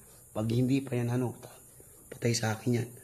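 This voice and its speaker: A man's voice is somewhat breathy. He speaks at a fairly quick pace. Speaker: vlogger. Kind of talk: ghost-hunting vlog narration. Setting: outdoors at night, abandoned resort. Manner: soft, weak voice.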